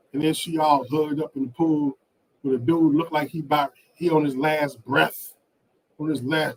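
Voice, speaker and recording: A man talks in a monotone, flat voice at a moderate pace with a fairly high pitch. The sound is dry and close, with no echo. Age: 50s. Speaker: YouTube vlogger. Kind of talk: live stream Q&A. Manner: casual, repetitive.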